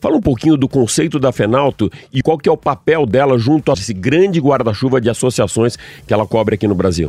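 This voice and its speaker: At a very fast pace, a man with a medium pitch and a dark, mellow tone talks with lively intonation and very even loudness, the sound dry and close with no echo. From Santos, Brazil. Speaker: radio host. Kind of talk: radio interview. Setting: studio.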